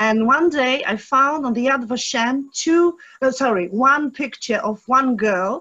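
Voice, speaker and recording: High-pitched, lively intonation from a woman with a Polish accent, against a quiet background. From Poland (Rybnik). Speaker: audience member, local historian. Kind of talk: Q&A question. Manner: halting.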